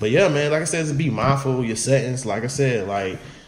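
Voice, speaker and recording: Noticeable background noise and audible room echo surround the voice. It moves fairly quickly, and its pitch varies in an ordinary way. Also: man. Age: young. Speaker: podcast co-host. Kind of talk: casual chat. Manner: soft-spoken.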